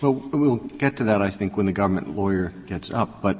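A normal speaking voice proceeds at a moderate pace, its pitch varying in an ordinary way. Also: man. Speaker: presiding judge. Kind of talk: court proceedings. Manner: formal.

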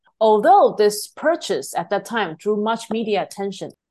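This woman's voice sits fairly high, with very wide swings in pitch. The background is quiet. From Taiwan. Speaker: political science researcher. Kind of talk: interview. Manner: formal.

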